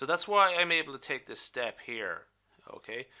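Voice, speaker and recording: A man with a bright, sharp tone speaks at a moderate pace with lively intonation in a very clean recording with a silent background. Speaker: statistics teacher. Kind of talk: tutorial. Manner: halting, self-correcting.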